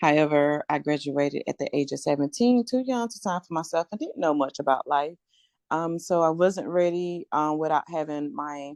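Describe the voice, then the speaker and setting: In a Southern US accent, a woman speaks at a moderate pace with a very deep, low pitch and lively intonation. The sound is dry and close, with no echo. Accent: country Southern. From rural North Carolina. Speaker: real estate investor. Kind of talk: podcast interview.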